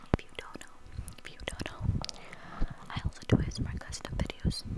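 A woman is whispering, breathy, at a moderate pace. The sound is dry with no echo, and the background is quiet. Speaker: ASMR creator. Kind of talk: soft ASMR talk to viewer. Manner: close breathy ASMR whisper. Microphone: lapel.

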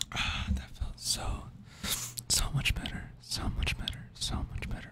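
A man whispers at a fairly slow pace. Noticeable background noise runs behind him. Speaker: ASMR creator. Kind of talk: casual vlog chat, soft ASMR talk. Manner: relieved whisper, lips on the mic. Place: home room. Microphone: studio mic.

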